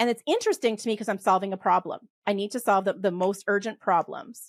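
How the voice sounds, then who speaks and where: The delivery is animated and fairly quick, with ordinary pitch variation and a dry, close sound with no echo. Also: woman. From western Canada. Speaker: polymath and tax expert. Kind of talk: podcast interview. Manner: fast.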